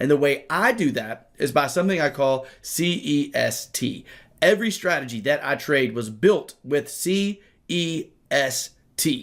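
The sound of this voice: Putting on a raspy character voice, a man speaks fairly high in pitch at a moderate pace with lively intonation.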